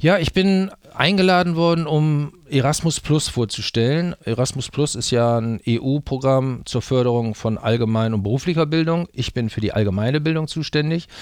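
Lively in intonation, a man with a fairly high voice speaks at a moderate pace with hardly any pauses. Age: 60s. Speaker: teacher and exchange program advisor. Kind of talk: interview. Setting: studio. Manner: hesitant, many fillers.

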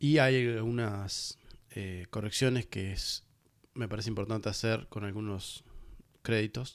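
With a Uruguayan accent, a man talks at a fairly slow pace at a medium pitch with fairly even intonation, in a very clean recording with a silent background. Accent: Rioplatense Spanish (Uruguayan). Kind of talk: solo music review podcast. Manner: hesitant, many fillers and repetitions.

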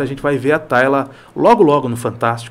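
A man has a normal speaking voice at a fairly high pitch. He keeps a moderate pace with ordinary pitch variation. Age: 40s. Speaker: news and opinion show presenter. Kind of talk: casual chat. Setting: studio.

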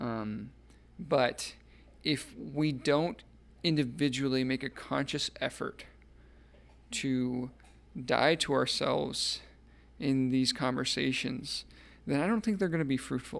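On a very clean recording with a silent background, a man speaks at a medium pitch and a very slow pace, with ordinary pitch variation and long, frequent pauses. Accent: American. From Phoenix, Arizona. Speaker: civil rights attorney. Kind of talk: casual interview. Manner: hesitant, many fillers.

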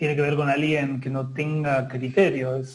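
Noticeable noise sits behind a man whose voice is pitched fairly high. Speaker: martial arts practitioner. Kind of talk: casual chat.

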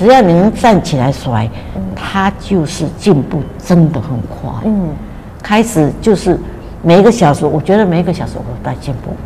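A woman speaks at a moderate pace in a fairly low voice, her pitch swinging very widely. Noticeable background noise runs underneath. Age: 80s+. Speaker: retired teacher sharing a health testimony. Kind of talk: testimony. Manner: frequent filler sounds and repetitions.

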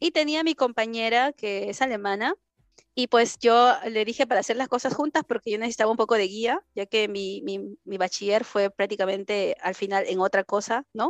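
In a dry, close sound with no echo, a woman with a Peruvian accent speaks at a moderate pace in a fairly high pitch. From Peru, Lima. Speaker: study-abroad consultant. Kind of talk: interview.

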